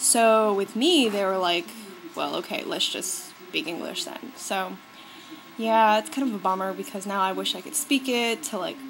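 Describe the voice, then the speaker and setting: Through noticeable background noise, a woman with an American accent speaks at a moderate pace, her fairly high voice carrying lively intonation. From US. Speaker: beauty vlogger. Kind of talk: casual vlog talk. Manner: animated.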